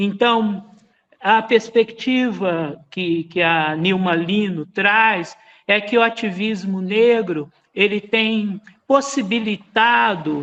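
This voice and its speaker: Speaking at a very slow pace, a man uses a high pitch with ordinary variation. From Brazil, Minas Gerais. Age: 60s. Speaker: musician and researcher, lecturer. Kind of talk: lecture.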